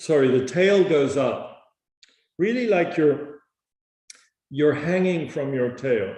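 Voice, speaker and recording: In a room with audible echo, a man speaks at a fairly slow pace in a calm, somewhat breathy tone with ordinary pitch variation. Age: 50s. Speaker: yoga teacher. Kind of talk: online yoga class instruction. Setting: online class. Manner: calm, guiding.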